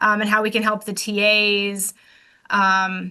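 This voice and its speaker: A woman speaks at a medium pitch with a bright, sharp tone against a quiet background. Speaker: workshop participant. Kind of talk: group report-back. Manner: hesitant, many fillers.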